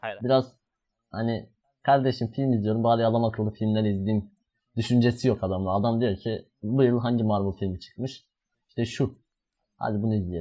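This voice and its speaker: A man talks at a moderate pace with fairly even intonation. He has a plain, everyday voice. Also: medium pitch for a man. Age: 20s. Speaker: podcast host. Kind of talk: casual chat.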